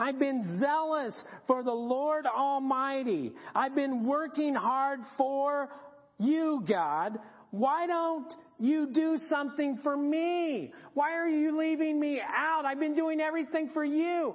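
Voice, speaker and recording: A woman's put-on character voice, whiny and high-pitched, at a fairly slow pace. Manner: complaining.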